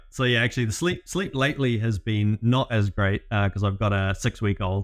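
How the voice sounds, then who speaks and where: His fairly low voice moves at a fairly quick pace with ordinary pitch variation. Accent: New Zealand. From New Zealand. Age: 30s. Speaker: business growth consultant. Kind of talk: interview. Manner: hesitant, many fillers.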